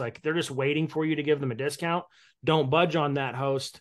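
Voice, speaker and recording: A man's fairly high voice with a US Midwestern accent, at a fairly quick pace over a quiet background. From Indiana, US Midwest (Evansville). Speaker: mortgage broker and real estate investor. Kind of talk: casual interview.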